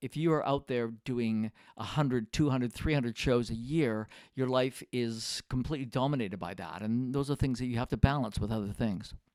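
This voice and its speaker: A man's ordinary speaking voice at medium pitch and a fairly quick pace, with ordinary pitch variation, in a very clean recording with a silent background and a dry, close sound with no echo. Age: 60s. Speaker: retired professional musician, video creator. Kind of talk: casual monologue to camera. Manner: relaxed, many filler words.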